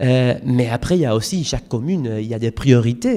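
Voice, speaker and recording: A man's dark, mellow tone moves with lively intonation. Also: very clean recording, silent background. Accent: Spanish. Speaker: European campaign coordinator, conference speaker. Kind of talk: conference presentation. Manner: hesitant, many fillers.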